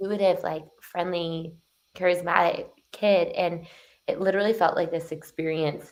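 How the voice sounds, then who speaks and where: A woman with a fairly low pitch and ordinary pitch variation talks at a moderate pace in an ordinary speaking voice. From Canada, Toronto. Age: 20s. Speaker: transformation coach. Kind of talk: podcast interview.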